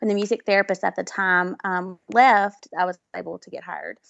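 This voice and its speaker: The speaker has a Southern US accent and a moderate pace. The intonation stays fairly even. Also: woman. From Mississippi, US South. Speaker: music therapist. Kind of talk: interview chat. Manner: halting, filler words.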